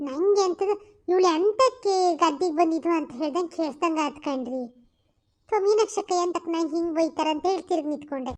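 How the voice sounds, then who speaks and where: A cartoonish character voice carries along at a moderate pace. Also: woman, extremely high pitch for a woman. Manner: fast, gushing.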